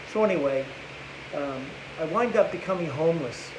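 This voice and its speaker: A man talks at a fairly high pitch. His voice carries audible room echo, with noticeable background noise as well. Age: 60s. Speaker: recovering addict. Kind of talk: testimony. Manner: halting.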